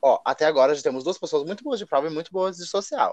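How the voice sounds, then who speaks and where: At a very fast pace with ordinary pitch variation, the voice sounds dry and close with no echo. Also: man. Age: 20s. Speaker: podcast co-host, online reality game player. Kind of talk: casual chat.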